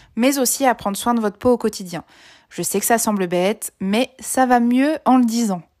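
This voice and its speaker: Recorded very cleanly with a silent background and a dry, close sound with no echo, the speech moves at a moderate pace with ordinary pitch variation. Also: woman. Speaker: beauty blogger and podcaster. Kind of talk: short advice podcast monologue. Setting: recording at home during lockdown.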